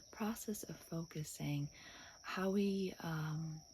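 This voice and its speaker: The voice has a dark, mellow tone and is somewhat breathy, moving at a very slow pace with ordinary pitch variation. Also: woman. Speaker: hypnotherapist. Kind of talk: guided meditation intro.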